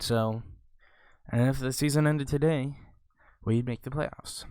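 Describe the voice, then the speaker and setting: The recording is very clean, with a silent background. A man speaks quietly at a medium pitch with ordinary pitch variation. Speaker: gaming video creator. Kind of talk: casual gameplay commentary.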